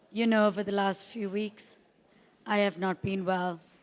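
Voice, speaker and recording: Her intonation is monotone and flat. This woman speaks at a medium pitch. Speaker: parent of the groom giving a wedding speech. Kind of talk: wedding speech.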